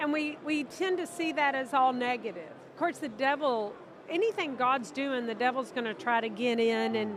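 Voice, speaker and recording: Over noticeable background noise, a woman speaks with a high pitch and lively intonation at a moderate pace. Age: 60s. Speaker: minister. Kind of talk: casual interview conversation. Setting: convention interview.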